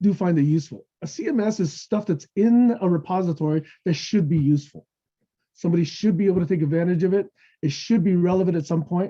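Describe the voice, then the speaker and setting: A man talks at a fairly quick pace with a high pitch. His tone is dark and mellow, with ordinary pitch variation. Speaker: technology evangelist presenting a webinar. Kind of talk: webinar presentation with Q&A. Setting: online webinar. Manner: fast; casual, conversational with frequent okay.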